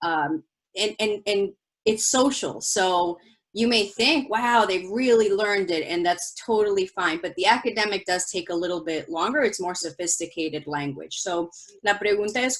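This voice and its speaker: A woman with a Spanish accent at a moderate pace, with ordinary pitch variation. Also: medium pitch for a woman. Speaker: school principal. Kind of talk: bilingual presentation for parents. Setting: online virtual presentation.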